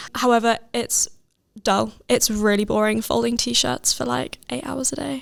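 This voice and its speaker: A woman in a southern English accent speaks at a fairly slow pace. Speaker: podcast host. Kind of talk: casual chat.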